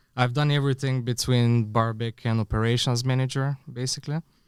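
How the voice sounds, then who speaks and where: With a Bulgarian accent, a man talks at a moderate pace and fairly even intonation, captured in a very clean recording with a silent background and a dry, close sound with no echo. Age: 30s. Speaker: bar consultant and podcast co-host. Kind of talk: casual podcast chat.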